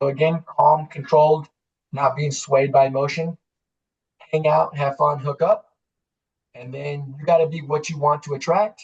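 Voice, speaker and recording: Somewhat breathy, monotone and flat delivery with big swings in loudness and long, frequent pauses. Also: man, fairly high pitch for a man. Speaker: life coach. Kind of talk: webinar presentation. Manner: fast.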